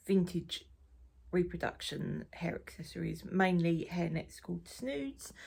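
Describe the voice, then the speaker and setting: Someone with an Essex accent speaks at a fairly slow pace. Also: woman. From Essex, England. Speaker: knitting podcaster and crafter. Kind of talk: casual chat. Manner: casual, with many fillers.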